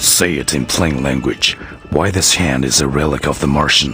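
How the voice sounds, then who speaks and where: Over clear background noise, a man puts on a character voice. It is very deep and low, delivered at a moderate pace. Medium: machinima. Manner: blunt, grim.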